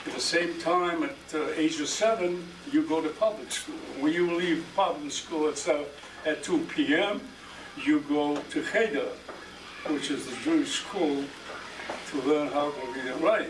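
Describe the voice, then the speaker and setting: Long, frequent pauses break up a man's high-pitched speech. Audible room echo and noticeable background noise fill the recording. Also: ordinary pitch variation, fairly slow pace. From Poland. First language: Yiddish. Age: 70s. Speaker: Holocaust survivor. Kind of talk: testimony. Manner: halting.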